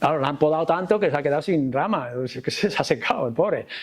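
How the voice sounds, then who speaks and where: A man talks with lively intonation, moving at a fairly quick pace. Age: 60s. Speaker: pastor. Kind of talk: panel talk at a church conference. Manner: halting.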